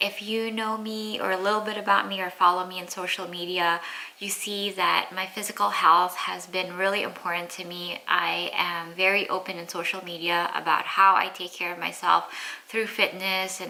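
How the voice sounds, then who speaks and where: The speaker keeps a moderate pace with monotone, flat intonation. Background noise is noticeable. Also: woman, medium pitch for a woman. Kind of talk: casual talk to camera. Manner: sincere, earnest, open.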